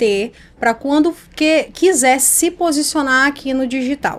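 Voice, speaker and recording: In a northeastern Brazilian accent, a woman speaks at a high pitch and a fairly slow pace. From Brazilian Northeast. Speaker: image and communication mentor. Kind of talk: podcast interview.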